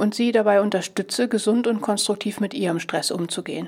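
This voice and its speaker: At a fairly quick pace, a woman talks in a normal speaking voice with a medium pitch and ordinary pitch variation. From southern Lower Saxony, Germany. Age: 50s. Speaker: stress coach and podcast host. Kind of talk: podcast monologue; guided breathing exercise.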